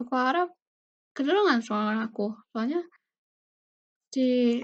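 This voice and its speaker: Soft-spoken and high-pitched, a woman talks fairly slowly with lively intonation. The background is quiet. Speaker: university student; presenter. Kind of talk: tutorial. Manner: casual. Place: home room. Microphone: webcam.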